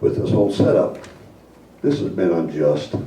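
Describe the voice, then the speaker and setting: Audible room echo and noticeable background noise accompany a man speaking at a fairly low pitch. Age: 70s. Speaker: resident giving public comment. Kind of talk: public comment at council meeting. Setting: city council meeting. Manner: halting.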